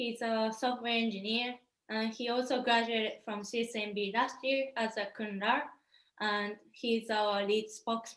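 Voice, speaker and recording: Monotone, flat intonation in a Japanese accent. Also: woman, fairly high pitch for a woman, moderate pace. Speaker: startup founder. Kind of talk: startup pitch presentation.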